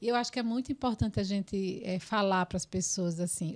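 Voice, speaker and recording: In a very clean recording with a silent background, a woman uses an unremarkable speaking voice at a medium pitch with ordinary pitch variation. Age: 40s. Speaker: podcast host, psychologist. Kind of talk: podcast interview.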